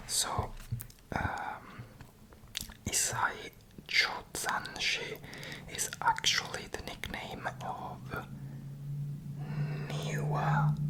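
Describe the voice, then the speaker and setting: Whispering at a very slow pace, with long, frequent pauses and noticeable background noise. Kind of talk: ASMR book haul. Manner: whispered; hesitant, many fillers.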